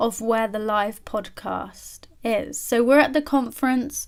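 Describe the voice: A woman's fairly high-pitched voice with ordinary pitch variation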